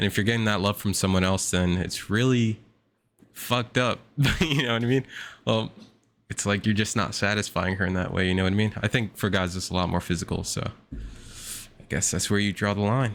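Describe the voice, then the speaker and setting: In a very clean recording with a silent background, a man with a fairly low pitch speaks at a fairly quick pace. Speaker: streamer reacting to a dating show. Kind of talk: live reaction commentary. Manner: monotone; casual slangy.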